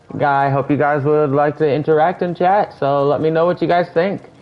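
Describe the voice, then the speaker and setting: A man uses an ordinary speaking voice, moving at a fairly quick pace with ordinary pitch variation. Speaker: gaming streamer. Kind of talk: live gameplay commentary.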